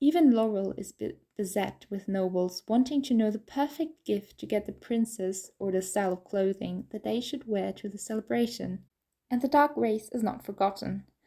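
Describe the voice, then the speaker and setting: A woman's fairly high-pitched yet dark, mellow voice, with ordinary pitch variation and a moderate pace, in a very clean recording with a silent background. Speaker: audiobook narrator. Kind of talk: audiobook narration.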